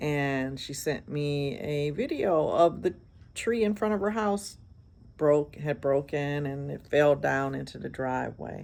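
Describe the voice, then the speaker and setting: The recording is very clean, with a silent background. A woman talks at a fairly slow pace. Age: 60s. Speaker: hairstylist vlogger. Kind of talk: casual vlog monologue. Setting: outdoors on a porch.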